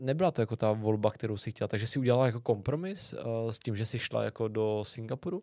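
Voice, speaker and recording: Recorded very cleanly with a silent background and a dry, close sound with no echo, a man of medium pitch talks very fast with hardly any pauses and ordinary pitch variation. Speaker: travel podcast host. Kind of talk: interview.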